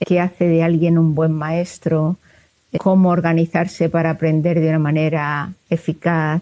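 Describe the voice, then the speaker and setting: A woman talks at a fairly slow pace in a fairly low, dark and mellow voice. Her intonation stays flat and monotone, and her loudness is very even. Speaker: psychologist and university researcher. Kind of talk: interview.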